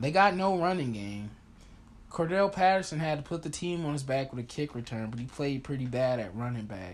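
A man talks at a fairly quick pace and a fairly high pitch. He has a normal speaking voice with lively intonation. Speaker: sports podcast host. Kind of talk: casual sports chat. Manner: casual, opinionated.

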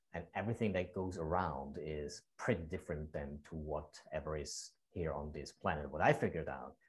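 A very deep, low male voice, somewhat breathy, with ordinary pitch variation, hardly any pauses, and a very clean recording over a silent background. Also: moderate pace. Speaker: podcast/radio host. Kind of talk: casual interview chat.

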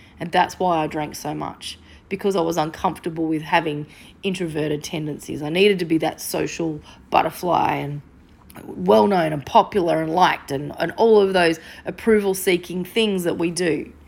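On a very clean recording with a silent background, a woman with a fairly low pitch and vocal fry talks at a moderate pace with ordinary pitch variation. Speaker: sobriety coach and counsellor, podcast host. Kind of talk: solo podcast monologue.

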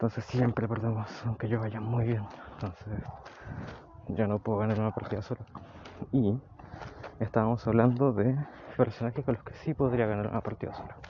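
A man with a Chilean accent at a fairly quick pace, flat and monotone, with long, frequent pauses. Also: medium pitch for a man. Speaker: personal diarist. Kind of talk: personal audio diary. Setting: outdoors, walking home.

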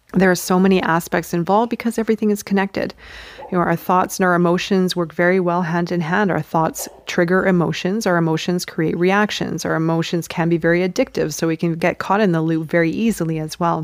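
A woman's fairly low-pitched voice at a very fast pace, with fairly even intonation and noticeable background noise. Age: 40s. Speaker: spiritual podcast host. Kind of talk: spiritual teaching monologue. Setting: outdoors.

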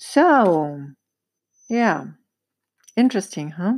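At a very slow pace, a woman talks in a dry, close sound with no echo. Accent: German. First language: German. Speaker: holistic dentist, podcast host. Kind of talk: solo educational podcast talk. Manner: halting, searching for words.

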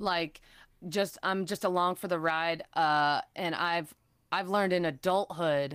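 With a normal speaking voice and an American accent, the speaker talks at a fairly slow pace with ordinary pitch variation in a very clean recording with a silent background. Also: woman. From Chicago area, US Midwest. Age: 30s. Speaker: PR coordinator. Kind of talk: casual interview chat.

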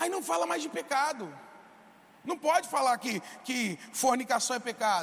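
Amid noticeable background noise, a man speaks in an extremely high pitch with very wide pitch swings and long, frequent pauses. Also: moderate pace. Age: 20s. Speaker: pastor. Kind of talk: sermon.

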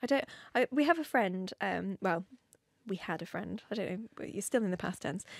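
Speaking at a moderate pace with vocal fry, a woman has a medium pitch and lively intonation, the sound dry and close with no echo on a very clean recording over a silent background. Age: 30s. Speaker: podcast host. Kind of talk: casual chat. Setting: studio. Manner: animated.

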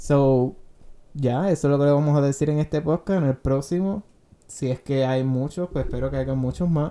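This man has a dark, mellow tone and a fairly high pitch. He keeps a moderate pace and fairly even intonation. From Puerto Rico, Guayama. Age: 20s. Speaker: podcast host. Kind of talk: casual chat.

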